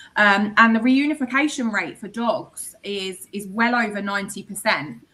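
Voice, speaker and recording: A woman's fairly high, bright, sharp voice in an English accent, with big swings in loudness. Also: ordinary pitch variation, moderate pace. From England. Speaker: microchip company representative. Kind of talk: podcast interview.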